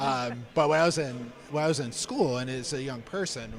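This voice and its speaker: In a northeastern Pennsylvania accent, a man speaks at a medium pitch with ordinary pitch variation, and audible room echo is present. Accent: Scranton. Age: 40s. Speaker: cancer charity staff member. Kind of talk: live stream fundraiser talk.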